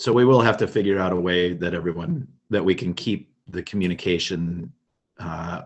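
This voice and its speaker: This man has a very deep, low voice and an Upper Midwest accent, talking at a moderate pace with ordinary pitch variation. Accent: Upper Midwest American. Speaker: project coordinator. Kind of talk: online meeting moderation. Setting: video call.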